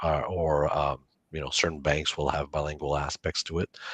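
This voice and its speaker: A man with a Franco-Ontarian accent speaks at a moderate pace in a very deep, low voice. His intonation is monotone and flat, and the sound is dry and close with no echo. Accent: Franco-Ontarian Canadian English. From Northern Ontario, Canada. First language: French. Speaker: college campus director. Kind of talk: online info session Q&A.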